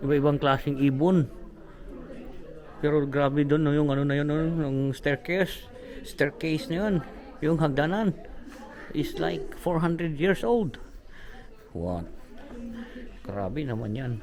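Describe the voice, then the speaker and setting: A man with lively intonation and long, frequent pauses, amid noticeable background noise and audible room echo. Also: fairly high pitch for a man. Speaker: travel vlogger. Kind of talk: travel vlog narration. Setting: indoors, historic house tour. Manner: loud; hushed.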